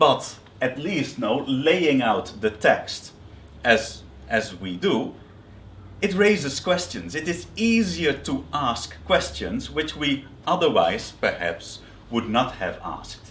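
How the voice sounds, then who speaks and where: In a room with audible echo, a man with vocal fry speaks at a very slow pace, his fairly high pitch making very wide swings. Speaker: biblical scholar. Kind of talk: lecture. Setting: seminary workshop. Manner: hesitant, with fillers and repetitions.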